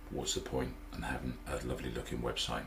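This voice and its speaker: Over noticeable background noise, a man talks in a Norfolk accent. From Norfolk, England. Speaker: web designer. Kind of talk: casual talk to camera.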